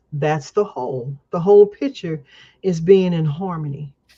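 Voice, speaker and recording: A woman with an American accent, a fairly low pitch, a dark, mellow and somewhat breathy tone, lively intonation and a fairly slow pace. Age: 70s. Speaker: community elder, guest speaker. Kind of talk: casual interview chat.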